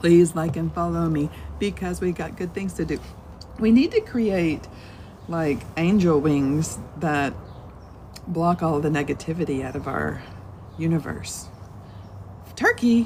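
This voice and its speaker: A woman speaks with a Southern US accent at a fairly slow pace. She leaves long, frequent pauses. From US South. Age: 50s. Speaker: Buddhist teacher. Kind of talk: live-stream dharma talk. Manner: casual, rambling with fillers.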